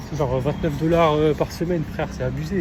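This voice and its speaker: A man talks with a fairly high pitch and ordinary pitch variation. Noticeable noise sits in the background. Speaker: vlogger, exchange student. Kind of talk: travel vlog. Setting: outdoors. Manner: casual, hesitant.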